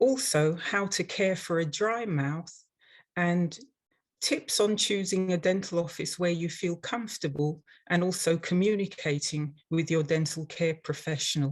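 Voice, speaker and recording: A woman with an English accent, fairly low pitch, ordinary pitch variation, and a fairly slow pace, set against a quiet background. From London, England. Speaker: dental hygienist and instructor. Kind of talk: webinar presentation. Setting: online webinar.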